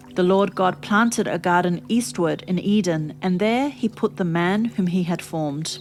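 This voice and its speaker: Music plays behind a woman with a fairly low voice and lively intonation. She keeps a moderate pace with hardly any pauses. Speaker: Bible reader. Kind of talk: serene Bible reading with relaxing background music. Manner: calm, soothing.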